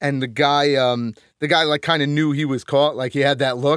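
A man with a Northeastern US accent speaks at a fairly high pitch and a moderate pace with fairly even intonation, the sound dry and close with no echo in a very clean recording with a silent background. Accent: American Northeast. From Connecticut. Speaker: musician and audio engineer. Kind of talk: casual interview. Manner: halting, many fillers.

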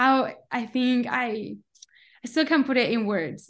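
A woman with a Spanish accent speaks at a fairly slow pace, somewhat breathy. Her intonation is fairly even, and the background is quiet. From Colombia. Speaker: coffee company founder. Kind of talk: interview.

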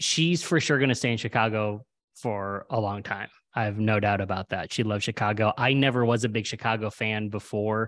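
Fairly low in pitch, a man talks at a fairly quick pace with fairly even intonation in a plain, everyday voice. The recording is very clean, with a silent background. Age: 40s. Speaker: humorist. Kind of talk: casual chat.

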